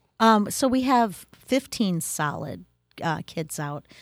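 A woman speaks with an Upper Midwestern accent and lively intonation. The recording is very clean, with a silent background. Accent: Upper Midwestern American. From Wisconsin. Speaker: school instructional coach. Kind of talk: interview.

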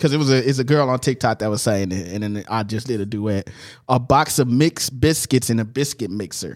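Man with a plain, everyday voice, medium pitch, ordinary pitch variation, fairly quick pace, very clean recording with a silent background. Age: 30s. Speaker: podcast host. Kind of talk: casual chat. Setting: studio.

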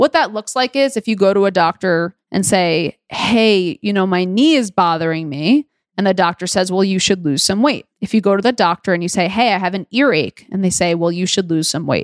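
With a New York accent and lively intonation, the speaker talks at a fairly quick pace with hardly any pauses, in a dry, close sound with no echo. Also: woman, medium pitch for a woman. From New York City (Queens). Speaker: dietitian and podcast host. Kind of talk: solo podcast monologue.

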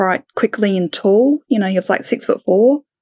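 In a very clean recording with a silent background and a dry, close sound with no echo, a woman speaks with an Australian accent. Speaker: podcaster. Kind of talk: casual interview chat.

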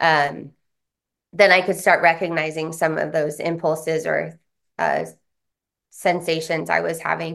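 Against a quiet background, a woman with a fairly low pitch and vocal fry talks at a fairly slow pace in a flat monotone, leaving long, frequent pauses. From US West Coast, San Diego. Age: 40s. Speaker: trauma recovery practitioner and author. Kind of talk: interview, life story.

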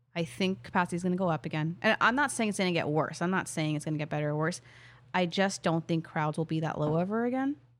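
Her intonation is lively, and her pitch is fairly low for a woman. She talks at a very fast pace. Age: 20s. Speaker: news correspondent. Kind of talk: casual chat. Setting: remote recording. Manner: fast talker when excited.

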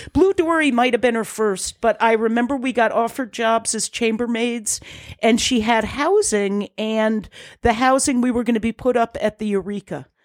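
A woman with an American accent and an unremarkable speaking voice talks at a moderate pace and fairly high pitch, in a dry, close sound with no echo on a very clean recording with a silent background. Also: ordinary pitch variation. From southeastern Connecticut. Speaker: innkeeper. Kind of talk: casual chat.

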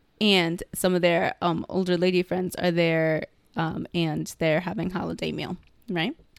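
A woman speaks fairly slowly in a fairly low voice. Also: dry, close sound with no echo. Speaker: podcast co-host, works in healthcare. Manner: animated, excitable.

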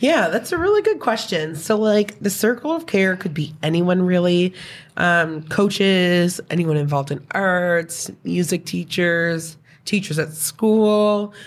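The speech has an Atlantic Canadian accent, a fairly slow pace, and ordinary pitch variation. The recording is very clean with a silent background. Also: woman, fairly low pitch for a woman. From New Brunswick, Canada. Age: 30s. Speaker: former youth in care. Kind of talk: casual interview.

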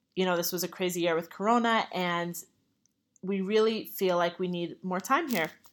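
Here is a woman with an ordinary speaking voice at a medium pitch. She goes at a moderate pace on a very clean recording with a silent background. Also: fairly even intonation. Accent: American. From New York. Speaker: podcast host, religious teacher. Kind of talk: religious teaching monologue.

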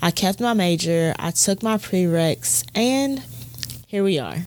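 With an American accent, a woman speaks very slowly at a medium pitch. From US South, Alabama. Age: 20s. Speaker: podcast host. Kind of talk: casual monologue.

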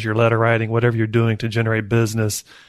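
Talking at a very fast pace, a man speaks at a medium pitch over a quiet background. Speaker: real estate agent and podcast host. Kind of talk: casual podcast chat.

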